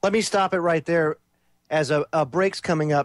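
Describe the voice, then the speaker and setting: A normal speaking voice moves at a moderate pace. The recording is very clean with a silent background, and the sound is dry and close with no echo. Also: man. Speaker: radio talk show host. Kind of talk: talk radio commentary.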